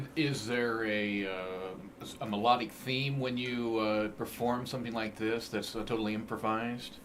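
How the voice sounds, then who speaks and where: Noticeable background noise runs under speech that has a moderate pace, fairly even intonation and hardly any pauses. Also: man, medium pitch for a man. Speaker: radio host. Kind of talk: radio interview.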